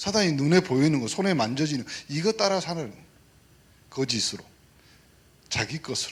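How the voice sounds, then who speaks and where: Pitched fairly high, the man's voice swings very widely up and down. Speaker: pastor. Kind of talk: sermon. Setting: church service. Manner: animated, interactive with congregation.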